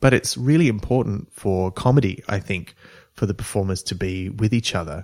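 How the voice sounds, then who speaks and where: With an Australian accent, a man speaks at a moderate pace in a fairly low pitch and lively intonation. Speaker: comedy writer and voice actor. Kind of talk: casual chat.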